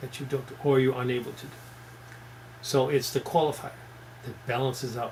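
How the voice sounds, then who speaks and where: This man's voice sits at a medium pitch and comes across as somewhat breathy. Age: 70s. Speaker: fitness instructor. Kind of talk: radio talk. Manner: earnest.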